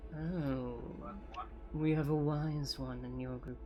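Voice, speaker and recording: In a raspy, put-on character voice, a man speaks at a fairly slow pace over clear background noise. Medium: actual play. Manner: ominous.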